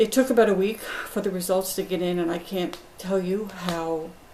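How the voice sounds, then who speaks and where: Medium-pitched woman's voice over noticeable background noise. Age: 60s. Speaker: patient. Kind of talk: testimony. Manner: hesitant with fillers.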